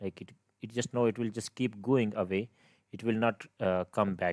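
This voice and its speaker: A man with a non-native accent speaks at a medium pitch with fairly even intonation, the sound dry and close with no echo. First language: not English. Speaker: game development tutor. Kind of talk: tutorial. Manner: halting, many fillers and restarts.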